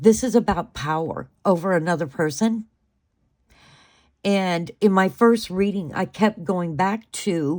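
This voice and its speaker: On a very clean recording with a silent background, a woman speaks at medium pitch and a fairly slow pace with ordinary pitch variation. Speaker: tarot reader. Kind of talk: tarot reading monologue. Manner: hesitant, many fillers.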